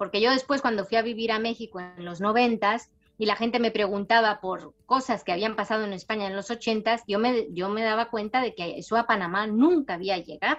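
A woman speaks in a normal speaking voice at a moderate pace. Her pitch is fairly high. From Spain and Panama, raised partly in Latin America. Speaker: novelist. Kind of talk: interview.

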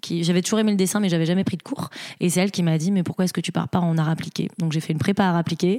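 A woman's fairly low pitch at a very fast pace, with fairly even intonation and very even loudness. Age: 30s. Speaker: restaurant founder. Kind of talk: interview. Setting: host's home.

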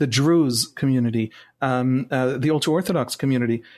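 Against a quiet background, a man with an Israeli accent speaks in a fairly high voice with ordinary pitch variation. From Israel, Jerusalem. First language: Hebrew. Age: 40s. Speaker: journalist. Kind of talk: interview. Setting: video call.

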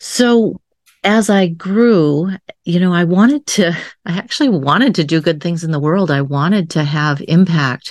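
Her pitch fairly low and her intonation lively, a woman with an ordinary speaking voice talks at a moderate pace. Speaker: psychotherapist and coach. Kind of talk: interview storytelling.

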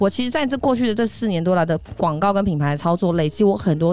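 Against noticeable background noise, a woman talks at a fairly quick pace in a fairly low pitch. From Taiwan, Taipei. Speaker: entrepreneur and image coach. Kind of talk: interview.

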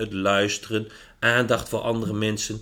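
In a plain, everyday voice, a man speaks at a fairly slow pace with fairly low pitch. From Netherlands, Achterhoek. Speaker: management drives consultant. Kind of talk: podcast interview.

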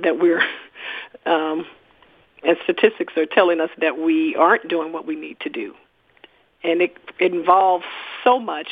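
With an American accent, a woman speaks at a moderate pace in a fairly low pitch with ordinary pitch variation. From East St. Louis, Illinois. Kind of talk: interview. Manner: halting.

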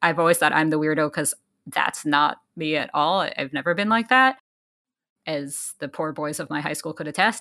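In a very clean recording with a silent background, a woman with an American accent speaks at a very deep, low pitch in a bright, sharp tone, with lively intonation and a moderate pace. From New York City. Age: 30s. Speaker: journalist and podcast co-host. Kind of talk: casual interview conversation.

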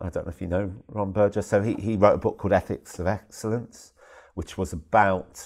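At a moderate pace, a man speaks with a very deep, low pitch and fairly even intonation. The recording is very clean, with a silent background. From southern England, Worcester. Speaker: head teacher. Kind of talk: interview conversation. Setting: at an education conference. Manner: halting, with many repetitions and fillers.

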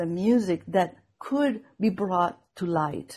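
This woman has a dark, mellow, somewhat breathy tone and a Venezuelan accent. Her intonation is lively while her pace stays fairly slow. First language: Spanish. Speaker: viola da gamba player and scholar. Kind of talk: interview conversation. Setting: video call. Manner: hesitant, many fillers.

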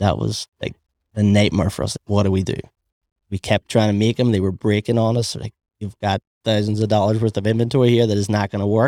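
A man with a Belfast accent speaks at a very fast pace in a fairly low pitch with monotone, flat intonation, the sound dry and close with no echo. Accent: Belfast Northern Irish. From Northern Ireland, Belfast. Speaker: small business owner and inventor. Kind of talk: casual interview.

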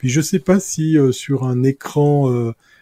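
A man speaks with a dark, mellow tone. The sound is dry and close, without echo. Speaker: tech columnist. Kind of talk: casual panel discussion.

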